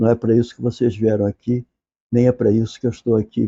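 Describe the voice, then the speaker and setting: Soft-spoken and flat in intonation, a man talks at a medium pitch. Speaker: literature professor. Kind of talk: lecture. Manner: informal, conversational.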